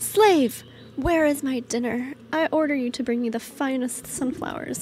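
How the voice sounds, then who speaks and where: In a put-on character voice, a woman speaks high-pitched and shrill at a moderate pace over clear background noise. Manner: imperious, commanding.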